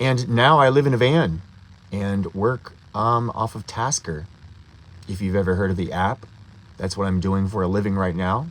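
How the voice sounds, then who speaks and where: A man with an American accent at a moderate pace, with ordinary pitch variation and long, frequent pauses. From US Midwest, Ohio. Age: 50s. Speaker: van lifer, vlogger. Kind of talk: casual live stream chat. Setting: inside a van. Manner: hesitant, many filler words.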